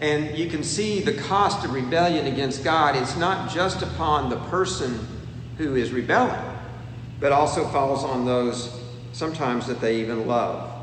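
A man with a fairly high voice and ordinary pitch variation speaks over noticeable background noise, with audible room echo. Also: moderate pace. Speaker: preacher. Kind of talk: sermon. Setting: empty church auditorium.

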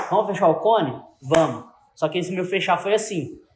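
The man's voice is high in pitch. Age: 20s. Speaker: entrepreneur. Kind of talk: casual chat.

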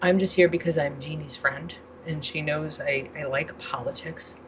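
Against noticeable background noise, a woman with a very deep, low pitch talks at a fairly slow pace and with fairly even intonation. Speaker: vaping advocate. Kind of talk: casual chat.

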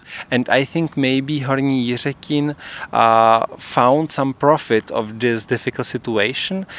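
At a very slow pace, a man speaks at a medium pitch with ordinary pitch variation, the sound dry and close with no echo on a very clean recording with a silent background. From Czech Republic. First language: Czech (speaking Dutch). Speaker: theatre performer. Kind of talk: interview. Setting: outdoors on a rooftop. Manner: halting.

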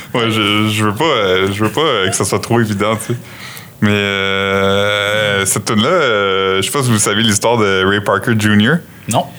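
There is noticeable background noise as a man speaks at a fairly slow pace. His intonation is fairly even and his loudness very even. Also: fairly low pitch for a man. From New Brunswick, Canada. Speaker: podcast host. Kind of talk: casual chat.

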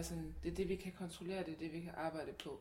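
A woman's dark, mellow tone carries vocal fry and a monotone, flat intonation. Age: 20s. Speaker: activist against body shaming. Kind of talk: casual chat.

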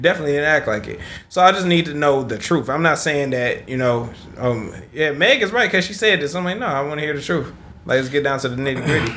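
Over noticeable background noise, a man talks very fast at a fairly high pitch. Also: lively intonation. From Detroit, US. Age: 30s. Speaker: podcast host. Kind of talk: casual chat.

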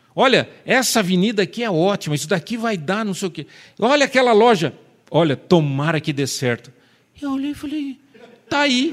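This man's animated voice sits high in pitch, moves at a moderate pace and makes very wide pitch swings. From Marília, São Paulo state, Brazil. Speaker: preacher. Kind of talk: sermon.

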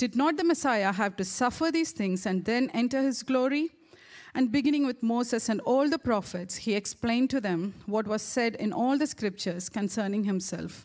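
A woman with an ordinary speaking voice talks at a moderate pace, her fairly high pitch moving in a lively way while her loudness stays very even. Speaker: church staff member reading scripture. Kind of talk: reading aloud. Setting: church.

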